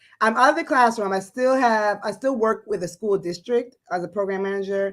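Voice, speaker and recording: A woman with a slight West African accent, medium pitch, lively intonation and a fairly quick pace. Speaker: educator and entrepreneur. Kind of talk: casual interview on livestream.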